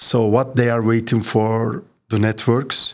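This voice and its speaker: A man's medium-pitched voice at a very slow pace, in a Turkish accent. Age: 50s. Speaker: municipal IT executive. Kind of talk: interview. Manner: halting.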